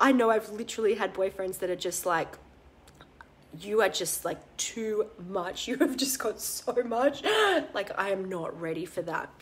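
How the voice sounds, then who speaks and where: Lively intonation from a woman with long, frequent pauses and noticeable background noise. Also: medium pitch for a woman, moderate pace. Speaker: holistic business coach doing a Facebook Live. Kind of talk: casual, profane.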